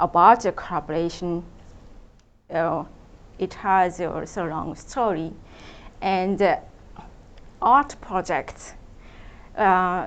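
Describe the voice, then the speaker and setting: With a Japanese accent, a woman talks at a very slow pace, leaving long, frequent pauses. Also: medium pitch for a woman, ordinary pitch variation. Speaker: contemporary artist. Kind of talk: public talk. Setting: event with audience. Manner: halting, many fillers.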